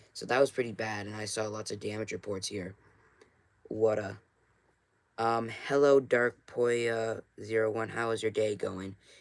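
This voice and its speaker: A man's medium-pitched, monotone voice with flat intonation, long and frequent pauses, and big swings in loudness. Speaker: amateur weather streamer. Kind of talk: live stream weather briefing. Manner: casual, filler-heavy.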